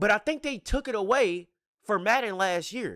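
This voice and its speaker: A man projects a raised voice with a bright, sharp tone and lively intonation at a moderate pace. The recording is very clean and dry, close, with a silent background and no echo. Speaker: gaming YouTuber and streamer. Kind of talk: casual commentary rant to stream chat. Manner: stuttering, unedited; animated, emphatic.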